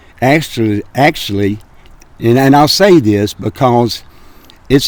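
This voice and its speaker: A man speaks with an Alabama accent at a fairly slow pace. His intonation is lively. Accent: US Southern (Alabama). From Birmingham, Alabama. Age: 70s. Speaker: grocery business owner. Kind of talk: interview. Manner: halting, many fillers.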